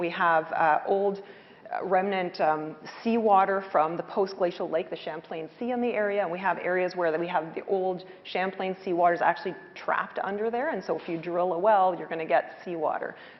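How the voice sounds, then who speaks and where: Against noticeable background noise, a woman speaks at a moderate pace in a medium pitch, her intonation fairly even. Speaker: hydrogeologist. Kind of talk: panel discussion. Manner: loud; hesitant, many fillers.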